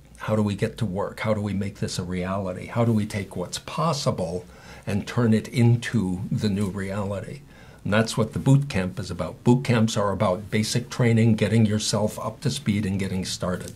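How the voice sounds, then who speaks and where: Speaking at a moderate pace with an American accent, a man uses a fairly low pitch, ordinary pitch variation and a somewhat breathy sound. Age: 60s. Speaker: patient advocate and speaker. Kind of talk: interview.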